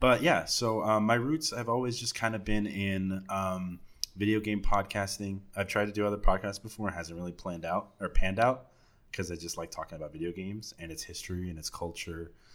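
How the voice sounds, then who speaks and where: At a fairly quick pace, a man with an American accent and fairly low pitch speaks with big swings in loudness, in a very clean recording with a silent background. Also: ordinary pitch variation. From Texas, Dallas. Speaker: podcaster. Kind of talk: casual chat.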